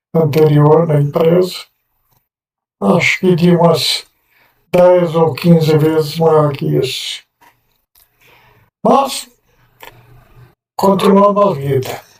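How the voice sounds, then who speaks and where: Speaking at a very slow pace, the man has a fairly high pitch. His pitch variation is ordinary. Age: 70s. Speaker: person with multiple sclerosis giving testimony. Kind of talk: testimony.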